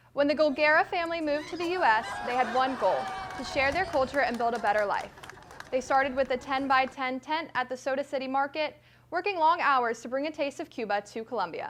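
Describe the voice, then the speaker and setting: A woman's high-pitched voice at a very fast pace, with lively intonation over noticeable background noise. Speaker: student news anchor. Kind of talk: news reading. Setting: studio.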